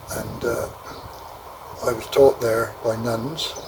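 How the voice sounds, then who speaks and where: There is noticeable background noise behind a man of medium pitch. His intonation stays fairly even. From southern England, Poole, Dorset. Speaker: elderly father recounting his life. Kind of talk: oral history interview, reminiscing. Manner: hesitant, many fillers.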